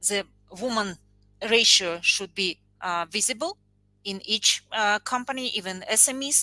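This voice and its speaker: A woman with a non-native accent speaks at a fairly slow pace, with long, frequent pauses and ordinary pitch variation. Music plays in the background, and the sound is dry and close with no echo. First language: not English. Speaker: panel guest. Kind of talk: panel discussion. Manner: halting, many fillers.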